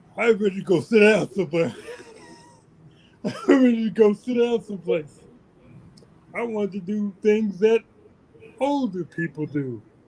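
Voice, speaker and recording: A man with a high pitch talks at a moderate pace, with lively intonation and long, frequent pauses. Noticeable background noise runs behind him. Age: 60s. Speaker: army veteran being interviewed. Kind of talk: interview. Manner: halting.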